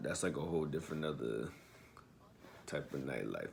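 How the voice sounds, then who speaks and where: A man with an American accent and a relaxed tone. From New Jersey / New York area. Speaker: YouTube commentator. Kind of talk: casual reaction commentary. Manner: casual, relaxed.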